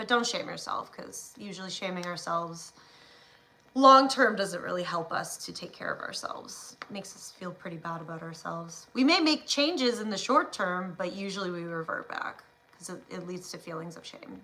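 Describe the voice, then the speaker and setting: A woman with a medium pitch and lively intonation speaks at a moderate pace over noticeable background noise. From Ontario, Canada. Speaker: live streamer. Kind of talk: casual chat. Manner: hesitant, filler-heavy.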